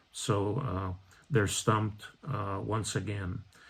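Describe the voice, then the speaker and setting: In a very clean recording with a silent background, a man speaks at a very slow pace. His voice sits fairly low in pitch and is somewhat breathy. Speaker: Episcopal priest. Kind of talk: bible study talk. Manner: many hesitations (uh, um).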